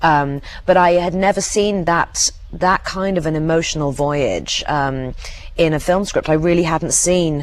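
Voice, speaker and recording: Noticeable background noise behind a woman's voice at a moderate speed. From England. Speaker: actress. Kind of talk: interview answer.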